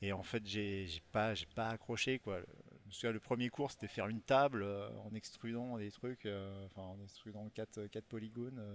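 This man has an unremarkable speaking voice, fairly low in pitch, talking at a fairly slow pace with fairly even intonation. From western France (Rochefort, Charente-Maritime). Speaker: video game artist. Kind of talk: interview.

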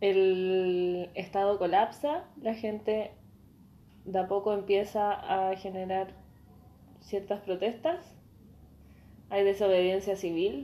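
A woman with a Chilean accent speaks at a very slow pace and a medium pitch, with long, frequent pauses. Her tone is dark and mellow, her intonation fairly even. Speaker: podcast co-host. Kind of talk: casual chat.

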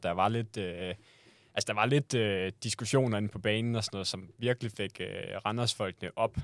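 A man with a plain, everyday voice talks at a moderate pace and fairly low pitch, his intonation fairly even. The sound is dry and close with no echo, in a very clean recording with a silent background. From western Jutland, Denmark. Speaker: podcast co-host. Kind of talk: casual chat.

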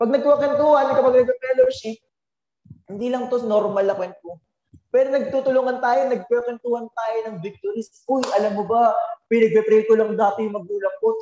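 A man with a high pitch speaks at a fairly quick pace. His intonation is lively, and his loudness swings widely. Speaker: preacher. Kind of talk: sermon, preacher in full flow, Taglish. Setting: church with congregation. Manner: animated, call-and-response, energetic; jokes lightly, warm and exhortative.

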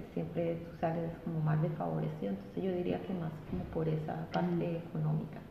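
A woman talks at a fairly quick pace with hardly any pauses, against noticeable background noise and audible room echo. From Colombia, Bolívar. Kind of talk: casual chat.

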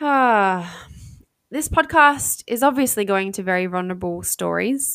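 On a very clean recording with a silent background, a woman with an Australian accent speaks at a medium pitch with lively intonation. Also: fairly slow pace. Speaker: podcast host. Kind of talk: solo podcast monologue. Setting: home recording. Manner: frequent filler words.

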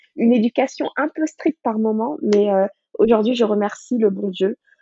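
This woman has an ordinary speaking voice, medium in pitch with ordinary pitch variation. She talks at a moderate pace. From Senegal, Dakar. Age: 30s. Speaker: cookbook author and food blogger. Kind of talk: interview.

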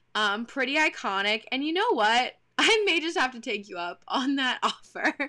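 A woman with an American accent uses a raised, projected voice at a high pitch, her bright, sharp tone showing very wide pitch swings and big swings in loudness at a moderate pace with hardly any pauses. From Texas. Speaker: podcast co-host. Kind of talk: casual chat.

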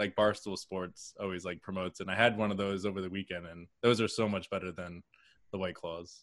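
A man talks at a fairly quick pace, his low voice showing little pitch movement.

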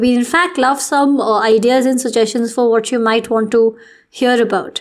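Moderate pace, fairly even intonation, and an Indian accent. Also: woman. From Delhi, India. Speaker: podcast host. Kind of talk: casual chat.

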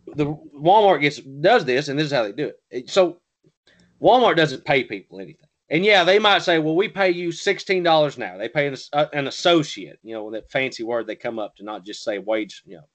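A man with a Southern US accent, fairly high in pitch with very wide pitch swings and big swings in loudness, at a moderate pace over a quiet background. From US South. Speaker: podcast co-host. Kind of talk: casual political discussion.

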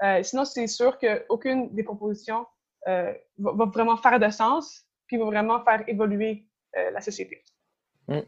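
Against a quiet background, a woman with a fairly high pitch and ordinary pitch variation speaks with long, frequent pauses. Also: fairly slow pace. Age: 20s. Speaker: environmental activist. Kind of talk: interview.

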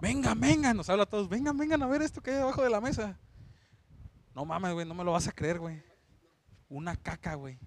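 Fairly quick delivery with very wide pitch swings and long, frequent pauses, on a very clean recording with a silent background. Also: man, high pitch for a man. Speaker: podcast co-host, bar worker. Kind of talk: casual chat.

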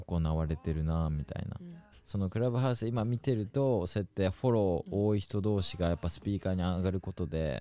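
A man speaks in a very deep, low pitch with a dark, mellow tone and ordinary pitch variation. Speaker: podcast host. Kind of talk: casual chat.

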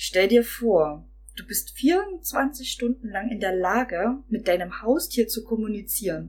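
This woman talks at a very slow pace, her fairly high voice carried by lively intonation. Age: 20s. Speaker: podcast guest. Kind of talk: casual chat.

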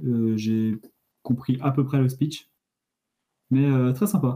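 The voice is somewhat breathy and dark, mellow in tone, with ordinary pitch variation and very even loudness. It moves very slowly, with long, frequent pauses. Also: man. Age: 20s. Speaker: engineering student. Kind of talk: casual chat.

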